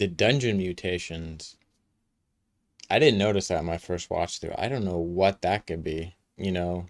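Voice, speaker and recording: On a very clean recording with a silent background, a man with a very deep, low pitch speaks at a moderate pace, leaving long, frequent pauses. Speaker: gaming youtuber. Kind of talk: reaction commentary. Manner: monotone.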